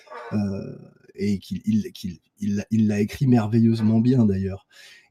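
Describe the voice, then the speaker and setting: Dry and close with no echo, a man's dark, mellow tone comes through at a fairly slow pace. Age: 40s. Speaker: sculptor. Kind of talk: casual chat. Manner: halting.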